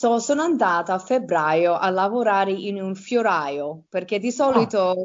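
With lively intonation and a medium pitch, a woman talks at a fairly slow pace with hardly any pauses. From Campania, southern Italy (Avellino province), rural. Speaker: garden designer. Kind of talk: interview. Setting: remote call. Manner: halting.

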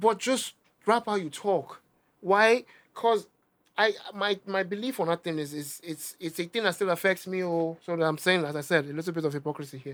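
The speaker talks at a fairly quick pace with a Nigerian accent. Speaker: rapper and music producer. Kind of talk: casual interview chat.

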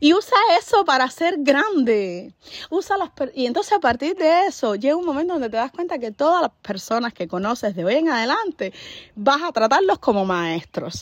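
In a high pitch, a woman talks at a moderate pace with an animated tone and very wide pitch swings. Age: 30s. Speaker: podcaster. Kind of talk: motivational monologue. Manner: halting.

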